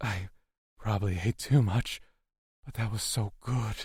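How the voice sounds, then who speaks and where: A man's put-on character voice at a medium pitch and fairly slow pace, on a very clean recording with a silent background. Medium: read story. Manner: hesitant, quiet.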